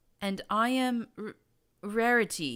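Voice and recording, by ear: A female-sounding, put-on character voice sits at a fairly high pitch. It is shaky, raised and projected.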